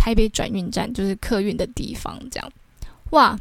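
Fairly high-pitched woman's voice in a Taiwanese accent, in a very clean recording with a silent background. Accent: Taiwanese Mandarin. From Taiwan, Taichung. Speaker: podcast host. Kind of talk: casual storytelling monologue.

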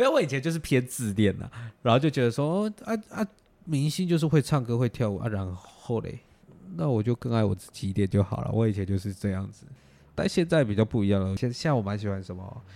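A man with a Taiwanese accent, medium pitch and a dark, mellow tone, with lively intonation at a fairly quick pace. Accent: Taiwanese Mandarin. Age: 20s. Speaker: podcast host. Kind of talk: casual chat.

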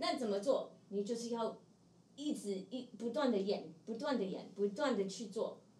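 There is audible room echo as a woman with a fairly high pitch speaks at a fairly slow pace. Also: ordinary pitch variation. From US, Seattle. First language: English (speaking Chinese). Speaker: playback theatre actor. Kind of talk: casual interview. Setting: live stream.

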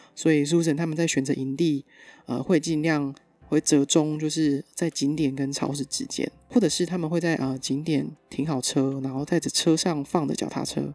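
Against music in the background, a woman speaks at a fairly quick pace with a very deep, low pitch and fairly even intonation. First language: Mandarin Chinese. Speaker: podcast host. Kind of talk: scripted narration.

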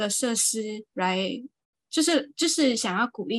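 A woman speaks at a very slow pace in a fairly high pitch. The sound is dry and close, with no echo. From Malaysia, Johor. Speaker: podcast co-host. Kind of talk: casual chat.

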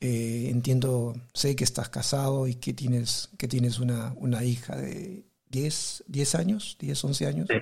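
Very slow and somewhat breathy, a man speaks at a medium pitch in a dark, mellow tone with ordinary pitch variation. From Peru. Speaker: podcast host. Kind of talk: casual interview chat.

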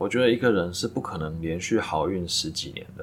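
A man's moderate-paced speech with ordinary pitch variation. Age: 30s. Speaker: podcast host, full-time trader. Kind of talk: solo reflective monologue. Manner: halting, with filler words.

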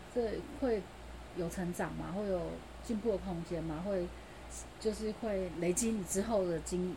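A woman's medium-pitched voice, dark and mellow with vocal fry, with ordinary pitch variation and audible room echo. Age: 40s. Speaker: podcast host. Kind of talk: casual solo monologue.

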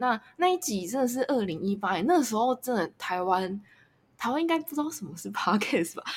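Somewhat breathy and fairly high, a woman's voice moves at a fairly quick pace with very wide pitch swings. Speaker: podcast host. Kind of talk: casual interview chat. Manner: halting.

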